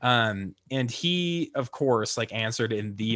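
An ordinary speaking voice with an American accent shows ordinary pitch variation. The recording is very clean with a silent background. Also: man. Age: 20s. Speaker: political podcast host. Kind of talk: casual chat. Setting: live broadcast.

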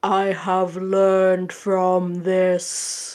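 Using a put-on character voice, a woman booms at a medium pitch with monotone, flat intonation. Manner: booming.

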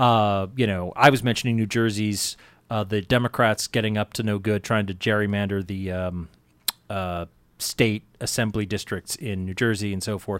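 A man with a fairly low pitch and an unremarkable speaking voice talks with fairly even intonation on a very clean recording with a silent background. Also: moderate pace. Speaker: radio host. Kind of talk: casual chat. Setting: studio.

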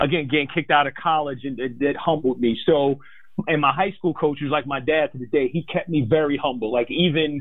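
The pace is fairly quick, and an unremarkable speaking voice keeps its intonation fairly even. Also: man, fairly high pitch for a man. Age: 40s. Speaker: financial advisor. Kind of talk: interview.

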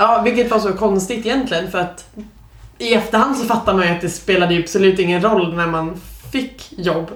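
Amid noticeable background noise and audible room echo, a woman speaks at a fairly quick pace with medium pitch and ordinary pitch variation. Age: 20s. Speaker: podcast co-host, junior software developer. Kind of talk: casual chat.

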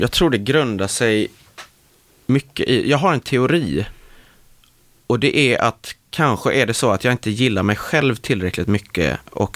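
A man with a plain, everyday voice, at a fairly slow pace, with very even loudness and lively intonation. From west Sweden (Marstrand, near Gothenburg). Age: 20s. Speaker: actor. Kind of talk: casual interview chat. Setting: studio.

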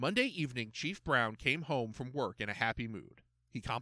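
Natural-voiced reading aloud, full of lively intonation.

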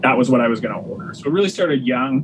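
Noticeable background noise sits behind a man with a Canadian accent, whose fairly high voice shows ordinary pitch variation. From Ontario, Canada (Waterloo Region). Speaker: chef and butcher. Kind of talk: casual interview chat.

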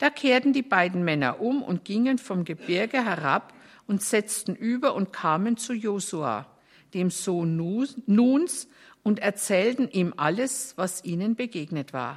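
A woman at a medium pitch with very wide pitch swings and a very slow pace. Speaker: scripture reader. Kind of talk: reading aloud from the Bible.

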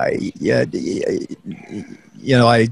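The voice carries a slightly husky edge along with vocal fry. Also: man.

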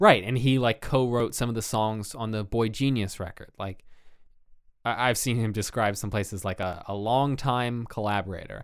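At a moderate pace, a man talks at a medium pitch in an ordinary speaking voice, on a very clean recording with a silent background. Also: fairly even intonation. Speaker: podcast host. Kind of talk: casual chat.

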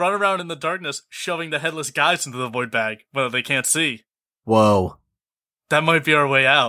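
In a very clean recording with a silent background, a man talks at a moderate pace with lively intonation and a fairly high pitch in a plain, everyday voice. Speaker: player. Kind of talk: casual tabletop game chat.

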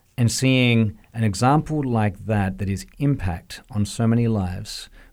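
A man with an Australian accent talks at a moderate pace. His pitch is fairly low with ordinary variation, on a very clean recording with a silent background. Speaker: music school director. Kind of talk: interview. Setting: studio.

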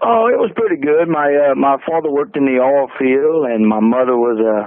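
A man talks at a moderate pace and medium pitch. There is vocal fry and ordinary pitch variation.

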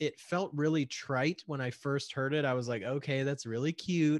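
Against a quiet background, a man speaks at medium pitch and a moderate pace in an ordinary speaking voice. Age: 40s. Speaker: podcast host. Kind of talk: casual chat. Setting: remote call.

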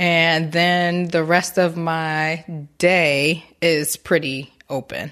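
A woman at a very slow pace, with a fairly low pitch, a monotone, flat intonation and an American accent. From Newark, New Jersey. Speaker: massage therapist. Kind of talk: interview. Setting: her massage shop.

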